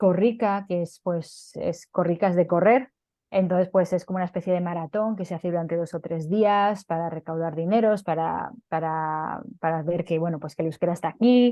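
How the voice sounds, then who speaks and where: Her pitch is fairly low for a woman, with ordinary variation. She talks at a moderate pace with hardly any pauses. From Basque Country, Spain. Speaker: interviewee, Basque speaker. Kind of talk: interview. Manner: hesitant, many fillers and repetitions.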